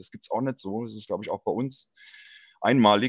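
The sound is dry and close, with no echo, over a quiet background. Pitch variation is ordinary. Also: man. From Palatinate, Germany (Ludwigshafen area). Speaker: bass player and football fan. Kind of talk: casual chat. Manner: halting, many fillers.

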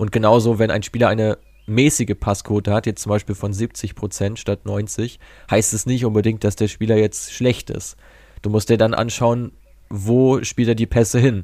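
Dark and mellow in tone, a man's fairly low voice moves at a moderate pace in a monotone, flat intonation on a very clean recording with a silent background. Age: 20s. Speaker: football data analyst and startup founder. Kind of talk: interview.

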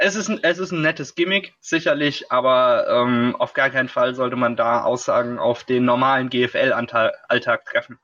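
Hardly any pauses break this man's speech. He talks at a moderate pace. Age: 20s. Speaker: football writer and podcast co-host. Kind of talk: casual sports talk.

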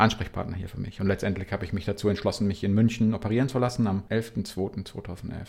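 The recording is very clean, with a silent background. On it, a man of fairly low pitch speaks in a monotone with flat intonation. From Bavaria (Regensburg). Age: 40s. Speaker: para-cyclist. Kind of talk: interview.

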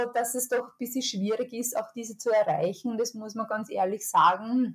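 This woman's voice sits fairly high. It rises and falls with ordinary pitch variation. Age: 30s. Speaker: public health officer. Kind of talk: interview. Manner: halting, with fillers and repeated words.

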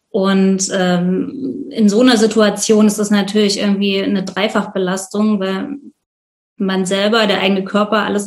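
The speaker is a woman with a somewhat breathy voice. Her intonation is fairly even. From Leipzig, Saxony, eastern Germany. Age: 30s. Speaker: volunteer host of refugees. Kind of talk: interview.

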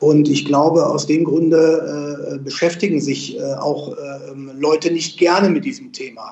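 A man speaks at a fairly high pitch and a moderate pace. Noticeable background noise is present. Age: 50s. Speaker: financial advisor. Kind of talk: interview. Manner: hesitant, many fillers.

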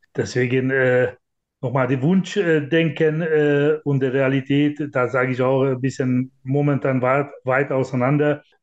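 With a Hungarian accent, a man with a fairly high pitch talks at a very slow pace, his loudness very even and his intonation fairly even, against a quiet background. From Hungary. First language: Hungarian (speaking German). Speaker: handball club managing director. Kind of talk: interview.

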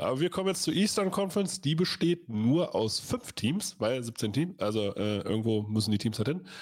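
A moderate pace with very wide pitch swings. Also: man. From Lower Saxony, Germany. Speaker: American football podcast host. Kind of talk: casual chat. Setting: livestream.

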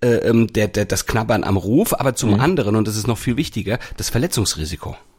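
This man speaks at a medium pitch and a moderate pace. His voice is somewhat breathy. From Hamburg, northern Germany. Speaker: sports podcast host. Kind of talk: casual chat.

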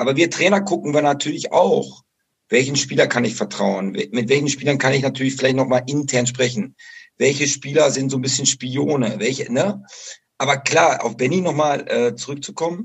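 A man speaks at a fairly high pitch with ordinary pitch variation. His voice is somewhat breathy and his pace is moderate. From western Germany, Bocholt (Dutch border). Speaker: football coach. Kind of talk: interview.

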